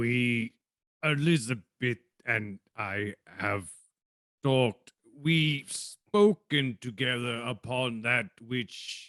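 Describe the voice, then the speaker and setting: At a very slow pace, a man puts on a character voice at medium pitch. The sound is dry and close, with no echo. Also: ordinary pitch variation. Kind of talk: 1940s radio acting. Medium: stage play. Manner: halting, hesitant, formal.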